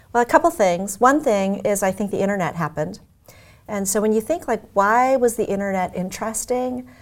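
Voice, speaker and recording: A woman with an American accent speaks at a moderate pace in a medium pitch. She has an unremarkable speaking voice with ordinary pitch variation. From US Midwest (Omaha, Nebraska). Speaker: tech executive. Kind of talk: interview.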